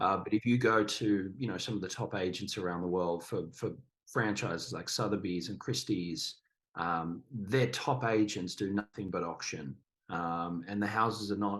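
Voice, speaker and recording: Fairly low in pitch, a man talks at a fairly slow pace with ordinary pitch variation. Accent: Australian. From Australia. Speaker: actor, director, auctioneer. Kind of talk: interview answer. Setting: podcast.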